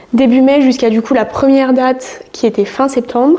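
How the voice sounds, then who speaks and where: With noticeable background noise behind her, a woman speaks at a fairly slow pace in a high pitch with fairly even intonation. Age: 20s. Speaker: fitness coach and bodybuilding athlete. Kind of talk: casual vlog talk to camera. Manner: hesitant, many fillers.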